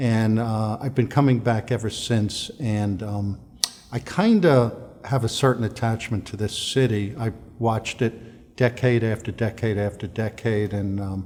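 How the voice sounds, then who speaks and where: Over noticeable background noise, a man speaks with an American accent. His pitch is medium, his intonation fairly even, and his pace fairly slow. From downstate New York. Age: 60s. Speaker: real estate developer. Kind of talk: promotional interview. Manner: casual with many fillers.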